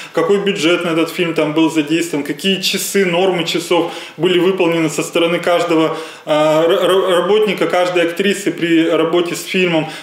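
At a moderate pace, a man with a high pitch talks in a flat monotone, with audible room echo. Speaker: lawyer. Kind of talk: interview answer. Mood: calm, matter-of-fact. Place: office.

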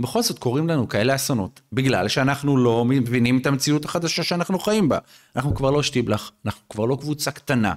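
With lively intonation and a fairly quick pace, a man speaks over a quiet background. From Israel, Bnei Brak (Haredi community); Israel. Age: 40s. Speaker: rabbi, reserve officer and lawyer; rabbi, lawyer. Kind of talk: podcast interview. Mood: earnest, explanatory. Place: studio. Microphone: studio mic.

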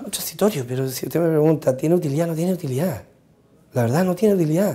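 With a dark, mellow tone, a man speaks at a fairly high pitch using lively intonation. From Chile, Chiloé; Chile. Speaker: congressman; politician interviewed. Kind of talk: interview. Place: studio.

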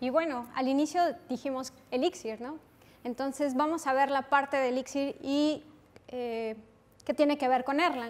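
Speaking at a fairly slow pace, a woman with a Mexican accent has a high voice and fairly even intonation. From Mexico. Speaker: software developer, conference speaker; conference speaker. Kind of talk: technical conference talk. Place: classroom.

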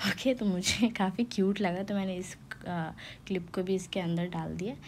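Somewhat breathy woman's voice, fairly low in pitch, with fairly even intonation. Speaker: vlogger. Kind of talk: vlog voice-over. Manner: casual, halting.

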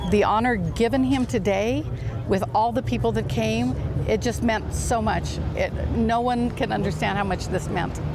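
The sound is dry, with no echo, and music plays in the background. The pace is moderate. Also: woman. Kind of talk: interview answer. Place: open country. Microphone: lapel.

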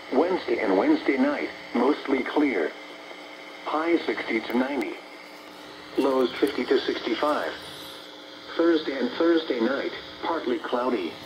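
A man speaks at a medium pitch with ordinary variation in it. His pace is fairly slow, with faint background noise.

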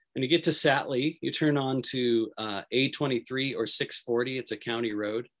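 There is a quiet background as a man speaks with an American accent. His pace is moderate, with hardly any pauses. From Feather River region, Northern California; Northern California. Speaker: wildlife biologist; presenter. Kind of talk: virtual presentation talk. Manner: enthusiastic. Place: home room. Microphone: video call.

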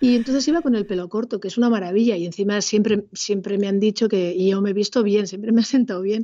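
A woman talks at a very fast pace with hardly any pauses. Her medium-pitched voice has ordinary pitch variation. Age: 50s. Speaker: secondary school teacher. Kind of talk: casual interview. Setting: video call.

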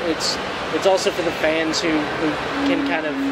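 Amid loud background noise, a man speaks at a moderate pace. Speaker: interviewee. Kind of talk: interview answer. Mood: relaxed, candid. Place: hall.

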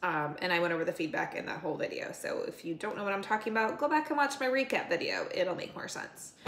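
A woman talks at a very fast pace with hardly any pauses, with audible room echo and light background noise. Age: 40s. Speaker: fitness vlogger and bodybuilding competitor; fitness competitor vlogger. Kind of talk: casual vlog monologue. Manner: casual, filler-heavy. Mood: frustrated, venting. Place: kitchen. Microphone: phone near.

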